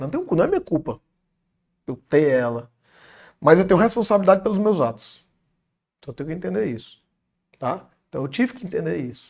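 A man's fairly high voice at a fairly quick pace, with very wide pitch swings, big swings in loudness and long, frequent pauses, on a very clean recording with a silent background. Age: young. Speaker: businessman and engineer. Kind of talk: interview, personal testimony.

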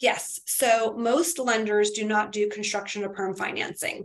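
A woman's fairly high voice with an American accent and ordinary pitch variation, an ordinary speaking voice. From Florida. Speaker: mortgage lender. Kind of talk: interview.

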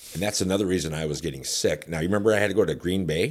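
A man with an Upper Midwest accent speaks in a very deep, low voice with vocal fry and lively intonation, on a very clean recording with a silent background. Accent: Upper Midwest American. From northern Illinois (Rockford). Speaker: radio personality and promoter. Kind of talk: casual chat. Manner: animated.

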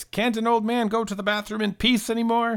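A man does a gruff, put-on character voice, pitched high. He speaks fairly quickly in a flat monotone.

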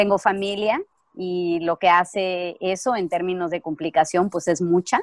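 A woman with a medium pitch and a plain, everyday voice speaks at a fairly slow pace, the sound dry and close with no echo on a very clean recording with a silent background. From Mexico. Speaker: actress. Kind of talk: casual chat.

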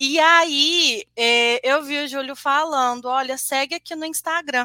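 A woman's raised, projected voice, high-pitched and bright with a sharp edge, with ordinary pitch movement and a dry, close sound free of echo. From Brazil, Juiz de Fora, Minas Gerais. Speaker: senior software QA analyst. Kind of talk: live-streamed interview.

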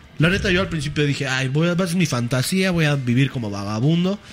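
Music plays in the background. The speaker has a Mexican accent and lively intonation. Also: man. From Mexico, Chipilo (Puebla). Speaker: podcast host. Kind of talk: casual chat. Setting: studio.

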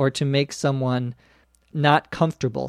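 A man with an ordinary speaking voice talks at a fairly high pitch, varying it in an ordinary way. The sound is dry and close with no echo, on a very clean recording with a silent background. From US Midwest, Minnesota. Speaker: English teacher podcast host. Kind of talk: language lesson. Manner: slow, clear.

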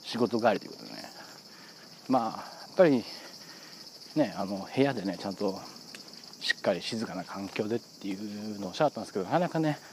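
Noticeable background noise surrounds this man as he talks fairly quickly. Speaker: football fan podcaster. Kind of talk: casual solo monologue. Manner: fast.

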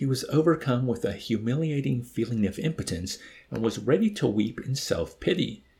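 Someone is reading aloud in a natural voice.

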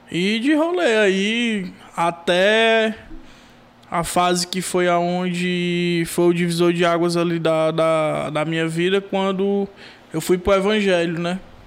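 This man talks at a very slow pace, pitched high for a man, with fairly even intonation. Noticeable background noise sits behind him. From Brazil, Maracanaú, Ceará. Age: 20s. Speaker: rapper and sound technician. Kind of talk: casual chat.

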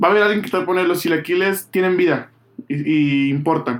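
Here a man with a high pitch talks at a moderate pace. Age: 30s. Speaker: podcast host. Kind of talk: casual chat.

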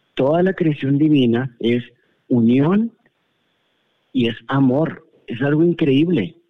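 A man with fairly high pitch and ordinary pitch variation, very slow, with long, frequent pauses. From Monterrey, northern Mexico. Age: 40s. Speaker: guest sharing personal experience. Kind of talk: personal testimony. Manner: halting.

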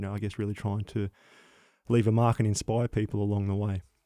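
A man with an Australian accent speaks at a fairly low pitch in a dark, mellow tone. The sound is dry and close with no echo, on a very clean recording with a silent background. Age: 30s. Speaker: paramedic and former soldier. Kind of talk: interview, personal testimony.

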